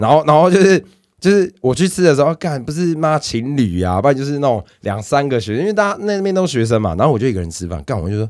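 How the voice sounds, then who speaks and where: In a very clean recording with a silent background, a man with a Taiwanese accent speaks very fast in a fairly high pitch, his tone animated and his pitch swinging very widely. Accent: Taiwanese Mandarin. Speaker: podcast co-host. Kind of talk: casual chat.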